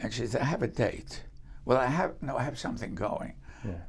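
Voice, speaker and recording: A man with an American accent and vocal fry speaks at a medium pitch and a moderate pace. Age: 90s. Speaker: retired aerospace engineer, entrepreneur. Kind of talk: interview answer, storytelling.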